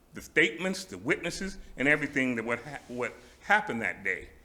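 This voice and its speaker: The voice moves through very wide pitch swings, and audible room echo surrounds it. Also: man. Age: 70s. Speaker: public commenter at city council meeting. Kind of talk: public comment speech. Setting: city council meeting chamber. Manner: halting.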